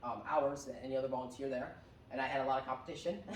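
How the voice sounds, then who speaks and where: A man with an American accent at a very fast pace, with audible room echo and noticeable background noise. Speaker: tech business founder, presenter. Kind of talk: presentation to seniors. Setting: room with live audience. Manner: hesitant, many fillers.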